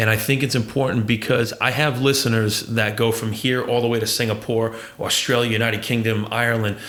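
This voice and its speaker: The speaker has an American accent and a fairly quick pace, with monotone, flat intonation and very even loudness. Room echo is audible and background noise is noticeable. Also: man, medium pitch for a man. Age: 40s. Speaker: podcast host. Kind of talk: casual interview chat.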